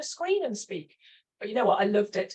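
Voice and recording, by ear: A woman at a fairly quick pace, with a slightly husky edge.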